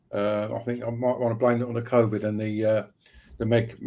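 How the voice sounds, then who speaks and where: A man speaks in a dark, mellow tone at a medium pitch. His pace is fairly quick and his intonation monotone and flat. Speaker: pain self-management advocate. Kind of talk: presentation in a live stream. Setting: online live stream. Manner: halting, many fillers and restarts.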